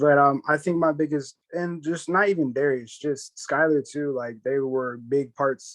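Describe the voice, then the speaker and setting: A man speaks with an American accent and fairly even intonation. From Ohio, US (Canton area). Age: 20s. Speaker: competitive gamer. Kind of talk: casual interview.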